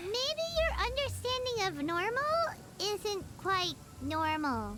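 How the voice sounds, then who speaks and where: Someone does a put-on character voice at an extremely high pitch and a very slow pace, with loud background noise behind it. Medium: video game. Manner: blunt, exclamatory.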